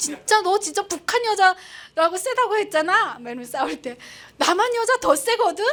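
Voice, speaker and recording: The woman's pitch swings very widely as she keeps to a moderate pace. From North Korea, Pyongyang. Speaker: North Korean defector broadcaster. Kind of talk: public lecture.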